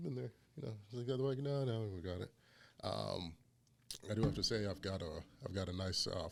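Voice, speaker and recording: Lively intonation from a man at a fairly quick pace. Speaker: barbecue podcast host. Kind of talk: casual chat.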